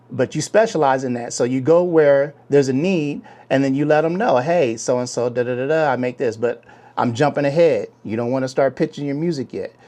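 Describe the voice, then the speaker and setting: Fairly high-pitched for a man, this male voice moves at a fairly quick pace with ordinary pitch variation. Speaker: music producer and sync agent. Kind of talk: casual rant to camera. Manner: fast; animated.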